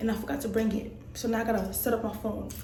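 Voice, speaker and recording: A woman talks at a very fast pace in a fairly high pitch. Audible room echo and noticeable background noise are present. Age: 20s. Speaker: truck driver vlogger. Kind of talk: casual vlog. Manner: casual and chatty.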